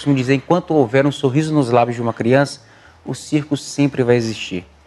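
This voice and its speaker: A man with a medium pitch speaks in an ordinary speaking voice. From Brazil, traveling circus family, born in Pernambuco. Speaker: circus performer. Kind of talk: interview.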